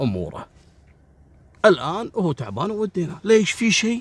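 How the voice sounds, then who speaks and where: A somewhat breathy, fairly slow delivery in a Kuwaiti accent, with very wide pitch swings. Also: man. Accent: Kuwaiti Gulf Arabic. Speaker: crime storyteller. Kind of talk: storytelling narration. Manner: casual, colloquial.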